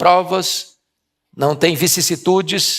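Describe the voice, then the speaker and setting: At a very slow pace, a man talks in a high pitch. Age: 60s. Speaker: preacher. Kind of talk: sermon.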